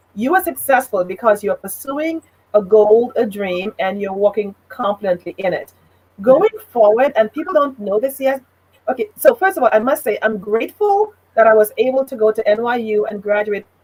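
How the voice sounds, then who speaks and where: A woman's fairly high voice moves at a moderate pace with lively intonation, captured with a dry, close sound and no echo. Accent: Trinidadian. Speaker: business consultant and leadership trainer. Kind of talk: talk show interview.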